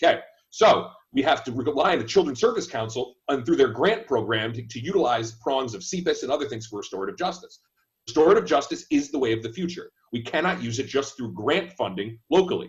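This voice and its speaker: At a very fast pace, a man with a fairly high, somewhat breathy voice makes very wide pitch swings and big swings in loudness. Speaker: candidate for state attorney. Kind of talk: panel discussion.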